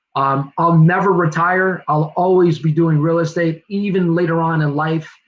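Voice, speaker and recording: A man talks at a moderate pace in a high pitch with a New Jersey accent. His intonation is monotone and flat. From New Jersey (Newark). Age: 40s. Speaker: real estate agent and investor. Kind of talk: presentation. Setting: virtual livestream.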